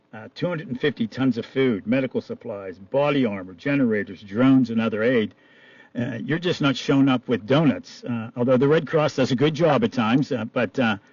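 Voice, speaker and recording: His pitch sitting in the medium range with ordinary variation, a man delivers his words fairly quickly in an ordinary speaking voice. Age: 60s. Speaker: radio host. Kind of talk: radio interview.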